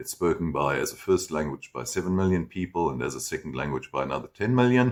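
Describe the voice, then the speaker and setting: Speaking at a fairly quick pace with a German accent, a man with a fairly low, vocal-fried voice comes through in a very clean recording with a silent background. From Germany, then South Africa from age 12. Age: 60s. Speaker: German teacher. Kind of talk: personal backstory monologue. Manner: casual, with fillers and self-corrections.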